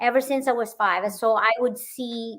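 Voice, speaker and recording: A woman speaks with a high pitch. Her intonation stays fairly even. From Philippines. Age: 50s. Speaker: author. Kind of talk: testimony. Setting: livestream interview.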